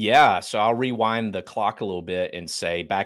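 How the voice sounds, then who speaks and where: A man with a North Carolina accent at a fairly slow pace, fairly even in intonation, on a very clean recording with a silent background. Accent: Southern US (North Carolina). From Eastern North Carolina. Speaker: business founder. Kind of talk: casual interview.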